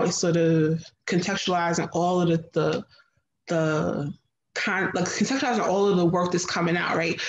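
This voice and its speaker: A woman with an American accent speaks at a moderate pace in a fairly low voice with fairly even intonation. Light background noise and audible room echo are present. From New Jersey, US. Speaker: food writer and chef; guest. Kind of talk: panel discussion. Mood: reflective, thoughtful. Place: home room. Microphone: video call.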